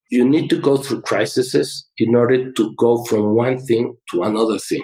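A man with a medium pitch and a dark, mellow tone speaks at a moderate pace. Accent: Mexican. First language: Spanish. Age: 60s. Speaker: chemical engineer and business owner. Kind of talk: presentation in podcast interview.

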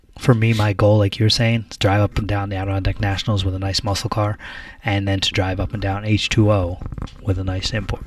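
A very fast, somewhat breathy male voice, fairly low in pitch, with monotone, flat intonation. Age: 30s. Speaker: car podcast co-host. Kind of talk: casual chat.

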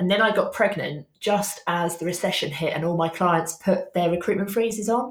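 A woman is speaking at a medium pitch. Her voice is somewhat breathy. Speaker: social media business coach. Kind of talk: casual interview chat.

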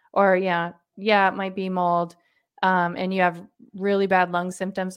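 A woman at medium pitch speaks at a moderate pace over a quiet background. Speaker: doctor and author. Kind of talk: interview conversation.

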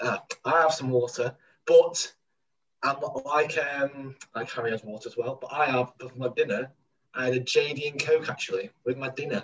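Here a man speaks with a Mancunian accent. His pace is moderate. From Manchester. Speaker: podcast co-host. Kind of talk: casual chat. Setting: remote recording from home.

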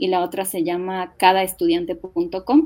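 A woman speaks at a very slow pace, her pitch swinging very widely, with music playing in the background. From Ecuador, Quito. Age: 30s. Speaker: missionary. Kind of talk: interview.

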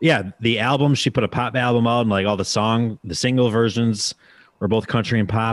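Speaking with an Upper Midwest accent, a man of medium pitch keeps a fairly quick pace. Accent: Upper Midwest American. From US Midwest. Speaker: podcast host. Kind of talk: casual interview chat.

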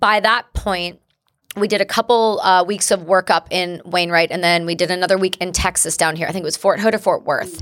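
With a Canadian accent, a woman speaks in a normal speaking voice at a medium pitch. Her pace is fairly quick and her intonation fairly even. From English-speaking Canada. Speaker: war veteran. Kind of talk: interview testimony.

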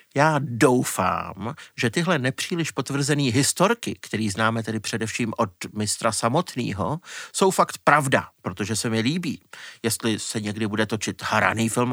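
A man with a medium pitch speaks at a moderate pace in a bright, sharp tone with lively intonation. The very clean recording has a silent background and a dry, close sound with no echo. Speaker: music journalist. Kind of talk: podcast conversation.

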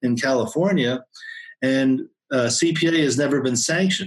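A man with a normal speaking voice keeps a fairly slow pace, his fairly high pitch showing ordinary pitch variation. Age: 60s. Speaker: accountant. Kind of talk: interview. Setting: home office.

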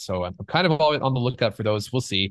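In a Canadian accent, a man talks at a very fast pace. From Canada. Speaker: film composer. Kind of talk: casual interview chat.

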